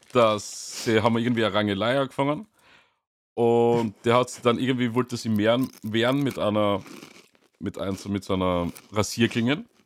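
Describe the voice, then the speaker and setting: An unremarkable speaking voice from a man, medium in pitch, with fairly even intonation at a moderate pace. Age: 30s. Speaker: band member podcast host. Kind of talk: casual chat.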